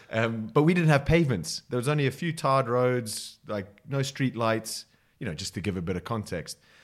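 A man with a Southern African accent talks at a fairly quick pace and medium pitch, his intonation lively, in a very clean recording with a silent background. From Botswana. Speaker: rugby coach. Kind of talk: casual chat. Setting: coffee shop.

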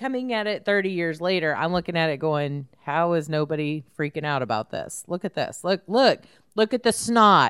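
At a fairly low pitch, a woman speaks with lively intonation at a moderate pace, on a very clean recording with a silent background. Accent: Texan. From Houston area, Texas. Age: 40s. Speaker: podcast host. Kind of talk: casual chat.

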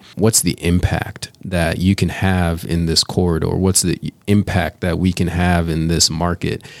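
An American-accented man with a very deep, low pitch and monotone, flat intonation, at a fairly slow pace with hardly any pauses, in a dry, close sound with no echo. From Chicago, US Midwest. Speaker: real estate developer, company founder. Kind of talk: casual interview.

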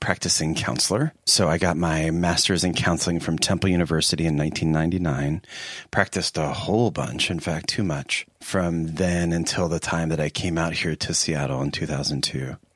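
A man with an American accent talks fairly quickly in a very deep, low pitch. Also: hardly any pauses. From US, Philadelphia area. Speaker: therapist and seminary professor. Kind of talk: interview conversation.

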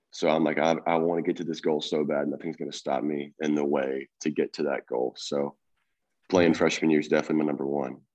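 Monotone, flat intonation with vocal fry. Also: man, very deep, low pitch for a man. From Tennessee, near Memphis. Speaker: college baseball player. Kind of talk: casual interview.

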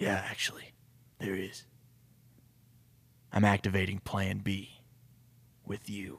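A man's put-on character voice, fairly low and raspy with a tired tone, monotone, flat intonation, a fairly slow pace and long, frequent pauses. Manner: grave, tired.

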